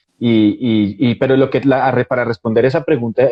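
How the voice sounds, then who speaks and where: A man in a Bogotá accent. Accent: Bogotá Colombian Spanish. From Colombia, Bogotá. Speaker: actor. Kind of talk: interview.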